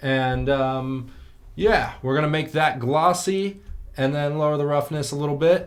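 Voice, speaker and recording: Audible room echo surrounds speech delivered at a fairly slow pace with fairly even intonation. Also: man, fairly high pitch for a man. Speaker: 3D art tutorial youtuber. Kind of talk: tutorial. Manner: casual.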